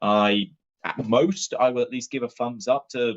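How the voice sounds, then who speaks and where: A man with a Somerset accent and lively intonation. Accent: Somerset rural accent, still present. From southwest England (Taunton, Somerset). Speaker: board game reviewer and streamer. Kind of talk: live-stream unboxing chat. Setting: live stream.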